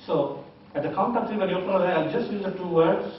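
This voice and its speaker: Audible room echo surrounds a man's voice. Light background noise is also present. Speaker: hypnotist teacher. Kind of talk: hypnosis induction. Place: hall. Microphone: camera far.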